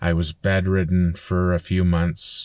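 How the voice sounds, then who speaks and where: A man with a Canadian accent and a very deep, low pitch, monotone and flat, on a very clean recording with a silent background. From Canada, Alberta (Fort McMurray). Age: 40s. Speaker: vlogger. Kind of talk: personal vlog monologue. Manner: casual with frequent fillers.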